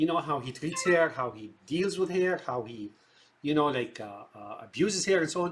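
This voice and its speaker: A man's fairly high voice with an Arabic accent, lively intonation and a moderate pace. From Syria. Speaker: film commentator. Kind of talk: monologue commentary. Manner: halting, many fillers.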